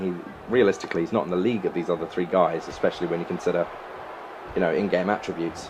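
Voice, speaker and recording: Very deep and low, a man's voice rushes along at a very fast pace with an English accent. Noticeable background noise is present. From England. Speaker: gaming YouTuber. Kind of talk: gameplay commentary.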